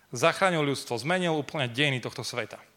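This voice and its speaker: Ordinary pitch variation marks a man's voice at a fairly high pitch. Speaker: preacher. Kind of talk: sermon.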